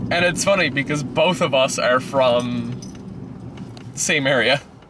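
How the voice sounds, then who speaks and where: A man at medium pitch, with ordinary pitch variation, very even loudness, a fairly slow pace, and noticeable background noise. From Newfoundland, Burin Peninsula. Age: 30s. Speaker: powerlifter. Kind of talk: casual chat. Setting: in a car.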